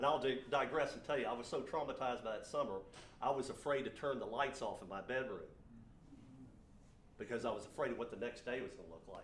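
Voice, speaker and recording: Very fast male speech with long, frequent pauses, ordinary pitch variation, big swings in loudness, and audible room echo. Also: medium pitch for a man. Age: 60s. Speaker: business owner and speaker. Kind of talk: motivational talk.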